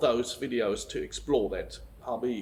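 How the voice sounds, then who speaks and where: A man with a German accent speaks at a very slow pace. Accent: German accent, confuses V and W. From Germany. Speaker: vicar. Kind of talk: casual video talk. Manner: hesitant, many fillers.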